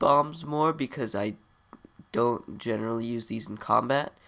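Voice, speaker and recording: This man talks with ordinary pitch variation. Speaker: gaming video creator. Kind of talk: let's play commentary. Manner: halting.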